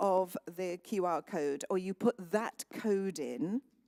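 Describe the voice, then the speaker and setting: Here a woman speaks with a British accent in a dark, mellow tone at a very slow pace. Her pitch varies in an ordinary way, and the sound is dry and close with no echo. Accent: sounds very British. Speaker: conference moderator. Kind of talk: event moderation. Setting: conference hall with audience.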